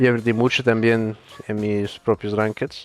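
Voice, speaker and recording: This man talks with a Dutch accent. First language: Dutch (speaking Spanish). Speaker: esports player. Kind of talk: interview. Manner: halting.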